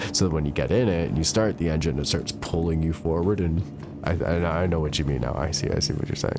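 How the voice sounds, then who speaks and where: A man talks at a very fast pace with music in the background. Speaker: video game streamer. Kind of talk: casual chat. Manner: animated.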